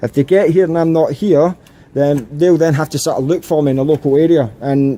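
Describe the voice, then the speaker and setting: This man speaks in a Scottish accent. His pitch is fairly high, with ordinary pitch variation. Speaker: auditor filming in public. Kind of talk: confrontational street conversation. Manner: calm, polite.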